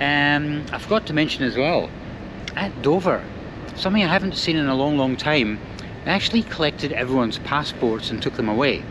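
Noticeable noise runs in the background. A man talks over it at a fairly quick pace. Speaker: travel vlogger. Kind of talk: casual vlog chat. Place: boat. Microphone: phone near.

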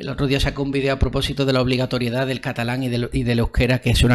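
A man with a fairly high pitch talks at a very fast pace against a quiet background. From Andalusia, Spain. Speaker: development researcher. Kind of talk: casual interview conversation. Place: home room. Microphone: studio mic.

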